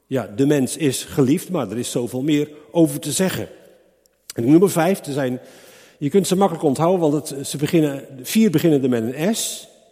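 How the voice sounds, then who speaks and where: With a plain, everyday voice, a man speaks at a moderate pace and a fairly high pitch, his intonation lively. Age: 60s. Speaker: preacher. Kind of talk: sermon.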